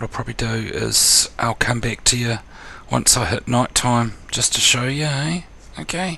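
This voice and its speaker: The speaker has a New Zealand accent and a moderate pace, with noticeable background noise behind. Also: man, medium pitch for a man, ordinary pitch variation. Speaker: gaming tutorial youtuber. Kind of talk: tutorial. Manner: casual, hesitant with fillers.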